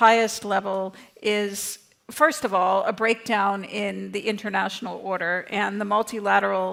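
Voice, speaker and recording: A woman with a medium pitch talks at a moderate speed, her pitch moving in an ordinary way, while noticeable noise sounds behind her. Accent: North American. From North America. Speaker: think tank director, panelist. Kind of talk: conference panel talk.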